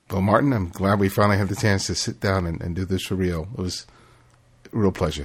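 A man's very deep, low, somewhat breathy voice at a fairly quick pace. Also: ordinary pitch variation. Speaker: podcast host. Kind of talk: interview; scripted narration.

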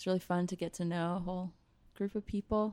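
In a plain, everyday voice, a woman talks at a medium pitch with fairly even intonation. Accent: American. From North Carolina. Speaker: harpist. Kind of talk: casual interview. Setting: coffee shop before a show.

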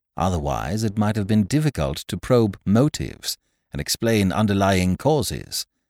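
On a very clean, dry, close recording with no echo and a silent background, a man speaks at a moderate pace in a fairly low, theatrical voice with vocal fry. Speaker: audiobook narrator. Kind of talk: dramatic narration of a story, read aloud. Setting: studio. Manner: tense, suspenseful build-up with theatrical pacing; formal, polished literary delivery.

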